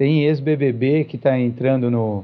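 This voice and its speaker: The speaker is a man. His pitch is medium. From Brazil, São Paulo. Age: 40s. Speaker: vegetarian society president. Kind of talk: podcast interview.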